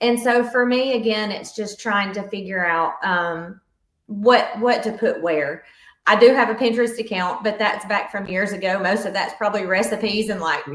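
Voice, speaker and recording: A woman talks with a Southern US accent at a medium pitch and a moderate pace. Her pitch varies in an ordinary way, and the room echo is audible. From US South. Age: 40s. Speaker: fitness coach. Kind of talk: podcast interview.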